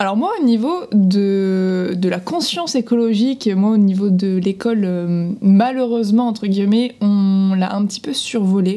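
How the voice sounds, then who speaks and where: Amid noticeable background noise, a woman of medium pitch speaks at a fairly slow pace with hardly any pauses. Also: ordinary pitch variation. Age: 20s. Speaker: podcast co-host. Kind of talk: casual chat.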